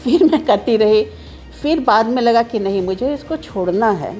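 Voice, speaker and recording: A woman talks at a moderate pace in a fairly high voice. Music plays in the background. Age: 60s. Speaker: patient giving testimonial. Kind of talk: testimony.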